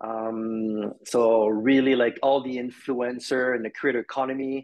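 The intonation is fairly even over a quiet background. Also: man. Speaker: guest. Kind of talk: interview answer. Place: home room. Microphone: video call.

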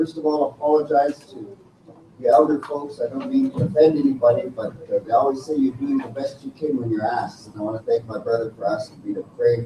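With audible room echo and light background noise, a man talks at a very fast pace. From Montana. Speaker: speaker. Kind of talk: prayer. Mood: humble, respectful. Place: classroom. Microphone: camera far.

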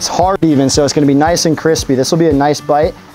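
Faint music sits in the background while a man talks. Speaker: store grill demonstrator. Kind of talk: cooking tutorial. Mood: upbeat, friendly. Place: garden.

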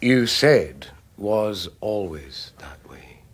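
In a put-on character voice, a man speaks at a fairly low pitch with big pitch swings. His pace is very slow.

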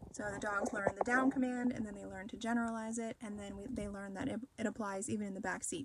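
A woman talks at a very fast pace in a somewhat breathy voice with ordinary pitch variation. The sound is dry with no echo, over light background noise. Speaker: dog trainer. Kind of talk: casual vlog tutorial. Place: car. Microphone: phone near.

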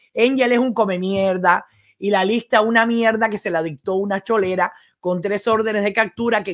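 With a Cuban accent, a woman speaks in an animated tone at a moderate pace over a quiet background. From Cuba (Guantánamo). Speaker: political commentator and journalist. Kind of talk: live-stream political commentary. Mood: angry, insulting. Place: home room.

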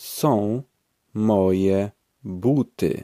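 In a dry, close recording with no echo, a man speaks in a plain, everyday voice with a fairly low pitch. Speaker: language course speaker. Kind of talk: language drill, repeated phrases. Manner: slow, clear enunciation.

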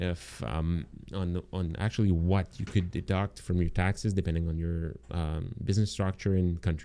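The man's voice has a very deep, low pitch. He keeps a moderate pace with ordinary pitch variation. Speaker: marketing agency owner and online course instructor. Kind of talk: live online training webinar. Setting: live stream with online audience. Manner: halting, many fillers and repetitions.

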